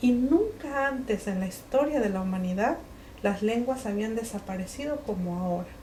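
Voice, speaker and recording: With a Mexican accent, the speaker talks at a moderate pace and with lively intonation over noticeable background noise. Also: woman. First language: Mixe (speaking Spanish). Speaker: writer and linguist. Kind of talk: book presentation talk. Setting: bookshop event with audience. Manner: hesitant, many fillers.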